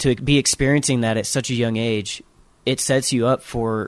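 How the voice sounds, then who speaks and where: This man has a plain, everyday voice at a medium pitch. He talks at a moderate pace with fairly even intonation. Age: 20s. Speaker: songwriter and son of the host. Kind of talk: casual interview. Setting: on tour in Jerusalem.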